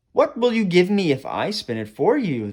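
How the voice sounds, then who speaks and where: Using a put-on character voice, a man speaks at a high pitch with very wide pitch swings and a moderate pace. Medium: read story. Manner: sly, teasing.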